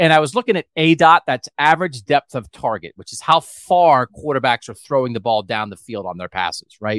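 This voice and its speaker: A man speaks at a moderate pace in a fairly high voice with very wide pitch swings, recorded very cleanly and dry and close, with no echo and a silent background. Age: 50s. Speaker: sports podcast host. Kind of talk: casual chat. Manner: animated.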